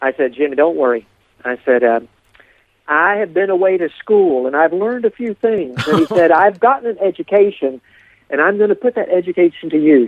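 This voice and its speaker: The speaker talks at a fairly quick pace with an Appalachian accent. The intonation is lively. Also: man, high pitch for a man. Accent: Appalachian American. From Appalachia, eastern United States. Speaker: storyteller. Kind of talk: interview storytelling.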